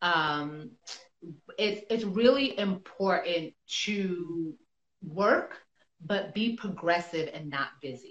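Very slow speech in a New York accent, with long, frequent pauses and ordinary pitch variation. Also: woman, medium pitch for a woman. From New York City. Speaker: actress. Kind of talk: casual interview. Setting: Instagram live video call.

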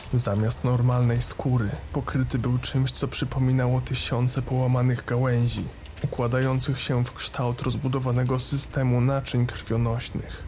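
With a dramatic tone, a man speaks at medium pitch and a moderate pace, his intonation monotone and flat. His loudness stays very even against noticeable background noise. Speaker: horror story narrator. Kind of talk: scripted horror narration, ghost story telling. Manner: tense, dramatic, building suspense.

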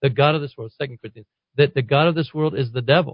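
Fairly high male voice, somewhat breathy, ordinary pitch variation. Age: 60s. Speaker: pastor. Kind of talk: talk radio interview. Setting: radio studio.

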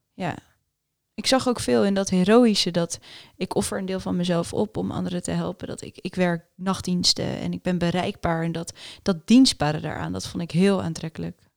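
An unremarkable speaking voice: a woman at a fairly low pitch, moderate pace and ordinary pitch variation, in a dry, close sound with no echo. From Netherlands. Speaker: doctor and entrepreneur. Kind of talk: interview.

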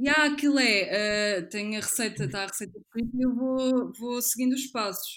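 With an unremarkable speaking voice, a woman talks at a moderate pace with hardly any pauses, fairly high pitch and ordinary pitch variation. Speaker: illustrator and model. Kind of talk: casual chat.

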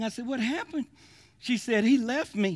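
A man's raised, projected voice, bright and sharp, animated, at a fairly quick pace, on a very clean recording with a silent background. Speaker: preacher. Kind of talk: sermon. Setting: church with live congregation. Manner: animated, folksy, call-and-response pulpit delivery with laughs and humor; warm, exhorting, building to a fervent prayer.

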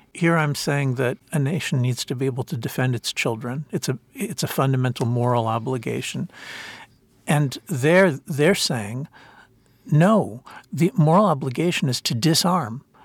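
Fairly high in pitch and somewhat breathy, a man with an American accent speaks at a moderate pace with lively intonation. The sound is dry and close, with no echo. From US (Princeton, New Jersey). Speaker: author and political philosopher. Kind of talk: interview. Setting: in person, Jerusalem. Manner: halting, many repetitions.

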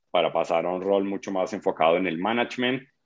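A man's fairly low-pitched voice. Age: 40s. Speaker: advertising agency CEO. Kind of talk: interview. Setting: video call.

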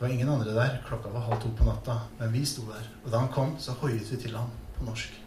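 With audible room echo and noticeable background noise, the voice moves at a fairly quick pace in a monotone, flat intonation. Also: man. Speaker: essayist. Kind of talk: scripted narration.

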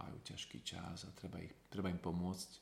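Moderately paced, a man talks. His pitch is very deep and low. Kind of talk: interview. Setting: recorded abroad on mission trip.

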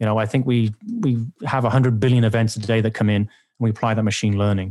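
Speaking with a British accent, a man uses a medium pitch and ordinary pitch variation. He keeps a fairly quick pace. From England. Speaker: vendor security expert. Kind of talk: interview, sponsored podcast conversation.

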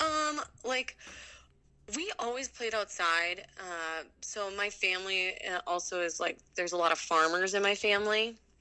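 Bright, sharp and energetic in tone, a woman with an American accent speaks at a fairly slow pace and medium pitch, her intonation lively. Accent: Minnesotan, noticeable when drinking. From Minnesota, US Midwest. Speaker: ultra runner and mountain athlete. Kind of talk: casual interview chat. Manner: positive, energetic.

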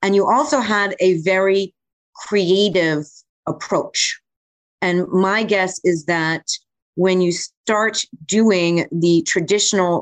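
A woman of medium pitch talks at a very slow pace with ordinary pitch variation, the sound dry and close with no echo. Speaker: podcast co-host. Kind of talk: casual chat.

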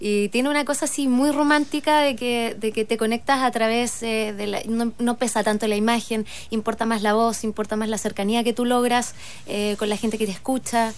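The speaker has a Chilean accent. The pace is moderate and the intonation fairly even. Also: woman, fairly high pitch for a woman. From southern Chile (Osorno). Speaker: entrepreneur and radio show founder. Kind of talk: radio interview.

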